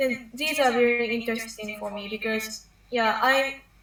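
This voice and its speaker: A woman with fairly high pitch at a moderate pace, over noticeable background noise. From Japan. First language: Japanese. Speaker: university student. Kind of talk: interview. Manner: halting.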